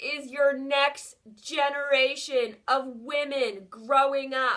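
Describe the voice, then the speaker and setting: A woman speaks at a very slow pace in a raised, projected voice. Her tone is bright and sharp, with a high pitch. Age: 30s. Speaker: vlogger, show host. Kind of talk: casual monologue. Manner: animated.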